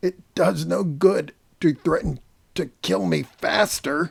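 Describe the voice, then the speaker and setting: A man puts on a raspy character voice, pitched fairly high for a man, moving at a fairly slow pace with very wide pitch swings. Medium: read story. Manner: halting, gasping.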